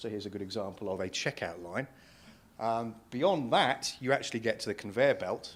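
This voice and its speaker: A man speaks at a medium pitch and a fairly quick pace, with lively intonation. The recording is very clean, with a silent background. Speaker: payments industry analyst. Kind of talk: conference talk. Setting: stage with audience. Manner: loud.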